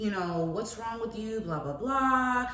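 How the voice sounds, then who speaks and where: At a moderate pace, a woman with a medium-pitched voice speaks in very wide pitch swings, with audible room echo and noticeable background noise. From moved from Paris, France to US at age five. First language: French. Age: 20s. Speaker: entrepreneur and lifestyle vlogger. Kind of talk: personal vlog monologue. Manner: casual, chatty.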